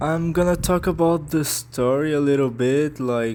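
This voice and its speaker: A man speaks at a very slow pace with a non-native accent. His intonation stays fairly even. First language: not English. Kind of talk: casual talk to camera. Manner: hesitant, halting.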